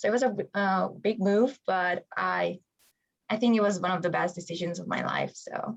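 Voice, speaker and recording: With a Hungarian accent, a woman talks at a moderate pace. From Hungary. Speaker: college water polo player. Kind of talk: interview.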